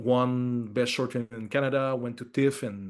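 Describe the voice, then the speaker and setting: A man with a strong French accent speaks at a medium pitch. His intonation is fairly even. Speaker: film director. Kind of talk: interview. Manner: halting, many fillers and repeats.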